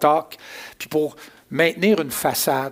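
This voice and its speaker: A man talks in a Quebec accent. His pace is fairly slow. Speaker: pastor. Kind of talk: sermon.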